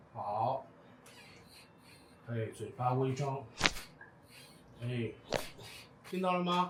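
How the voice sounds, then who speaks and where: A man talks at a very slow pace with long, frequent pauses over noticeable background noise. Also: medium pitch for a man. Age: 50s. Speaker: TCM facial bone-setting practitioner. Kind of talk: instructional talk to a client during treatment. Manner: calm, gentle.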